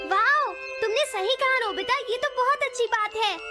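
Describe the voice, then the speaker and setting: A put-on character voice at an extremely high pitch and moderate pace, with clear music in the background. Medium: fan dub. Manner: fussy, explanatory.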